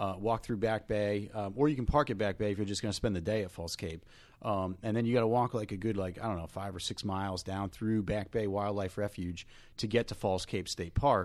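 In a very clean recording with a silent background, a man with a New Jersey accent talks at a fairly quick pace in a fairly low pitch with fairly even intonation. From North Jersey. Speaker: podcast co-host, real estate agent. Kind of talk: casual chat. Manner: hesitant, many fillers and repeats.

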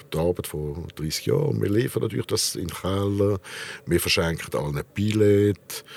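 This man has a very deep, low pitch, lively intonation and a moderate pace. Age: 60s. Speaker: restaurant owner. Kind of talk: interview. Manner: hesitant.

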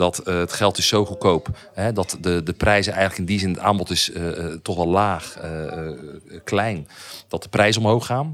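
The recording is very clean, and the background is silent. A man talks with a very deep, low pitch and fairly even intonation. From Netherlands, Dordrecht. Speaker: property investor. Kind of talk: interview.

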